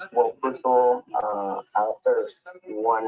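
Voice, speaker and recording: With a Spanish accent, a man talks at a very slow pace over music in the background, the sound dry and close with no echo. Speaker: academic seminar moderator. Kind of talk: seminar moderation.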